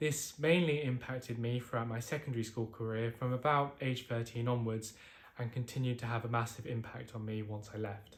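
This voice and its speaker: A fairly quick, somewhat breathy delivery in a British accent, with fairly even intonation. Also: man, medium pitch for a man. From UK. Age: 20s. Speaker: mental health vlogger. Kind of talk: personal testimony.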